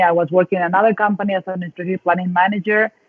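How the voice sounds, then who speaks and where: This woman has a medium pitch. She speaks with a Mexican accent. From northern Mexico (Sonora, Mexicali). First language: Spanish. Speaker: dance facilitator and coach. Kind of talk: interview.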